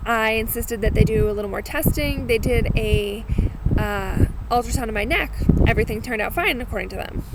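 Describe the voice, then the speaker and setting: A woman with an American accent at a fairly quick pace, over noticeable background noise. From Massachusetts. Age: 30s. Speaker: vlogger sharing cancer experience. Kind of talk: personal video blog. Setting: outdoors. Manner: casual, with filler words.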